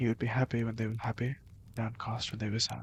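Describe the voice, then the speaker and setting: A man of medium pitch sounds somewhat breathy and speaks with monotone, flat intonation. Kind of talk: ASMR book summary reading.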